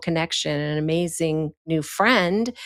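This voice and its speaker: With an ordinary speaking voice, a woman talks at a moderate pace in a fairly low pitch with ordinary pitch variation, on a very clean recording with a silent background. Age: 60s. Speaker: podcast host and literary consultant. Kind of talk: casual chat; promotional outro.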